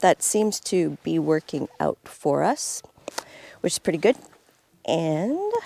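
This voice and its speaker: Soft-spoken and fairly slow, a woman talks in a dry, close sound with no echo. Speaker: off-grid cabin vlogger. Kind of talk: casual vlog talk.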